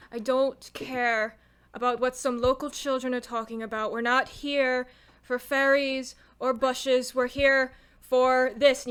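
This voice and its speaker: A woman puts on a gruff, high-pitched character voice with monotone, flat intonation at a fairly slow pace, on a very clean recording with a silent background. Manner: dismissive, impatient.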